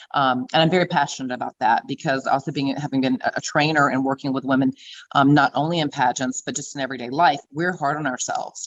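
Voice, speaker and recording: With a Southern US accent, a woman talks very fast in a very deep, low pitch and fairly even intonation, the sound dry and close with no echo. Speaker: beauty pageant queen and fitness trainer. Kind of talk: interview.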